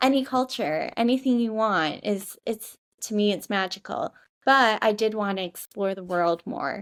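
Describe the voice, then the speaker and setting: On a very clean recording with a silent background, the speaker talks at a moderate pace with a Midwestern American accent and ordinary pitch variation. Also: woman, medium pitch for a woman. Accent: Midwest American. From US Midwest, Michigan. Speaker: digital nomad, social media marketer. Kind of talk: podcast interview. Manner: animated, chatty.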